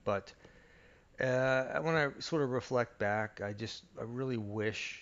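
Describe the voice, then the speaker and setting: A soft-spoken man at a very slow pace, with ordinary pitch variation. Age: 50s. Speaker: audio reviewer YouTuber. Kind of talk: unscripted casual monologue. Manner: soft-spoken, keeping voice low; halting, many fillers.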